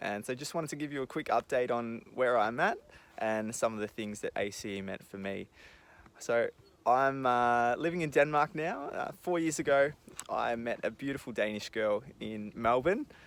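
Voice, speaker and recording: In an Australian accent, a man talks at a moderate pace with medium pitch and ordinary pitch variation, on a very clean recording with a silent background. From Australia, country Victoria. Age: 20s. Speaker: former student giving testimonial. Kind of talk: casual video message. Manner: casual, hesitant fillers.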